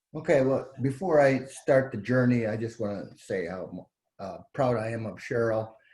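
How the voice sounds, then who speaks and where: A man speaks at a moderate pace in a somewhat breathy voice. His loudness swings widely. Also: medium pitch for a man, ordinary pitch variation. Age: 70s. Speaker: cancer survivor. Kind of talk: testimony. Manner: halting.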